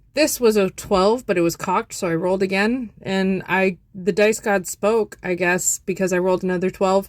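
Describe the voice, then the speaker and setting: Speaking at a moderate pace and a medium pitch, a woman has an ordinary speaking voice, captured in a very clean recording with a silent background. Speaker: crochet content creator. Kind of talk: casual tutorial vlog.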